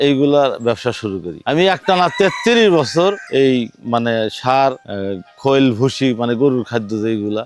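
A man speaks at a medium pitch with lively intonation. Noticeable background noise can be heard. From Sirajganj, northern Bangladesh. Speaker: farmer. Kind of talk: interview testimony.

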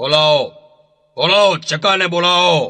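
Using a put-on character voice, a man speaks at a high pitch with fairly even intonation. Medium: read story.

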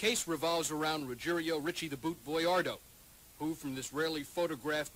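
A man talks in a normal speaking voice with a fairly high pitch. His pace is fairly quick. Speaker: TV news reporter. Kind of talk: 1980 TV news report, scripted field reporting. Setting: archive TV news clip. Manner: formal, measured, even broadcast delivery; crisp, authoritative, steady pace.

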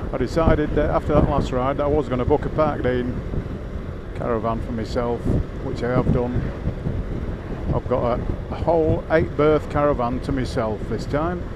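Over loud background noise, a man speaks at a moderate pace with ordinary pitch variation and long, frequent pauses. The sound is dry with no echo. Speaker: motorcycle vlogger. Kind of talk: casual vlog chat. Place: motorbike.

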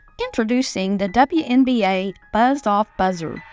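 A woman's voice sounds upbeat, medium in pitch with ordinary pitch variation. The sound is dry and close with no echo, and music plays in the background. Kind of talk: TV commercial read. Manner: upbeat, salesy.

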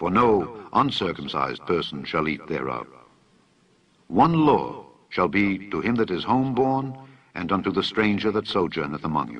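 Against a quiet background, a voice with vocal fry moves at a moderate pace through very wide pitch swings. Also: man, fairly low pitch for a man. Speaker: scripture reader. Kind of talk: reading aloud from the Bible.

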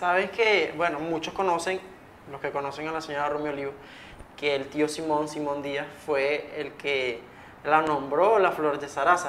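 With an unremarkable speaking voice, a man talks at a fairly slow pace and a fairly high pitch, using fairly even intonation over light background noise. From Venezuela. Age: young. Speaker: podcast host. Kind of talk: interview. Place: studio. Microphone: lapel.

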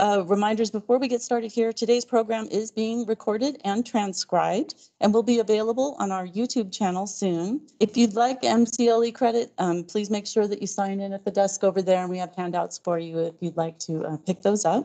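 A woman speaks at a fairly quick pace with hardly any pauses and ordinary pitch variation over a quiet background. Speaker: library host. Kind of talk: event introduction. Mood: warm, welcoming. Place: hall.

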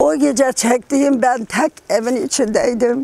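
A woman speaks at a very slow pace and a high pitch. Light background noise is present. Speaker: earthquake survivor. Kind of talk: interview answer. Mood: sad, recalling trauma. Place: garden.

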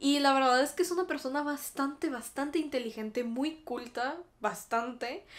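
With a Mexican accent, a woman speaks in an animated tone at a high pitch, keeping a moderate pace and ordinary pitch variation. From Mexico. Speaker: YouTuber. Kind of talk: casual chat. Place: home room.

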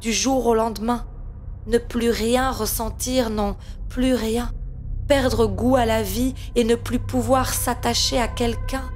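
Music plays in the background while a woman talks at a very slow pace. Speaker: slam poet. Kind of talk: spoken word poetry.

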